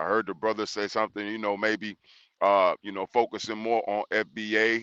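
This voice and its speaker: A loud man with a Texas accent, fairly low in pitch with a bright, sharp tone, dry and close with no echo against a quiet background. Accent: Southern US (Texas). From Texas, Houston. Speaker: panel debate guest. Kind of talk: panel debate. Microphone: audio checked, said good.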